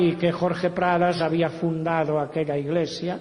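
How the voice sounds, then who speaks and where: With audible room echo and noticeable background noise, a man speaks at a moderate pace and a high pitch. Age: 70s. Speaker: pastor. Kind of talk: sermon.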